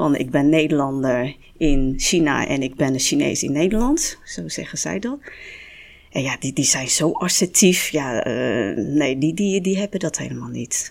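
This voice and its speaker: A woman talks at a fairly slow pace in a very deep, low voice with vocal fry. Her intonation is lively. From Netherlands. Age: 50s. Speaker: restaurant owner. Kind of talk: panel discussion.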